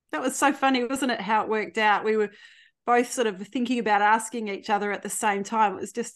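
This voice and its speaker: Against a quiet background, someone with an Australian accent talks at a very fast pace with ordinary pitch variation. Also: woman, fairly high pitch for a woman. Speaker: podcast guest. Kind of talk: casual chat.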